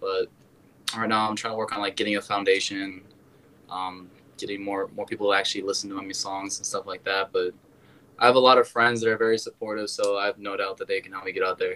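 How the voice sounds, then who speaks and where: A man's fairly low, monotone, flat voice in an American accent, at a very fast pace. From Wisconsin. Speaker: musician. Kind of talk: casual interview.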